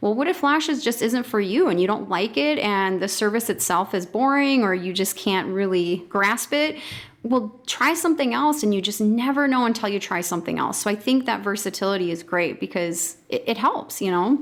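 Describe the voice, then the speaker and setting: In a plain, everyday voice, the speaker keeps a moderate pace with lively intonation and hardly any pauses. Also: woman, fairly high pitch for a woman. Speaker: podcast host, business coach. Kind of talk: interview conversation.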